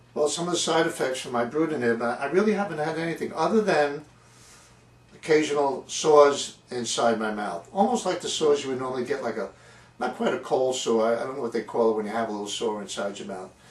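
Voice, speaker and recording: A man speaks very fast at a medium pitch. His intonation is lively, and noticeable background noise is present. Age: 70s. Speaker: patient video blogger. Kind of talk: personal testimony vlog. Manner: halting, repeating words.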